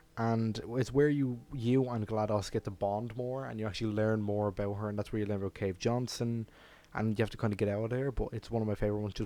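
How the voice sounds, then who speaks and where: Speaking at a fairly quick pace with an Irish accent, a man has a fairly low pitch, a dark, mellow tone and monotone, flat intonation. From Ireland. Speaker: furry YouTuber. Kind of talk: casual Q&A monologue. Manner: casual, with filler words.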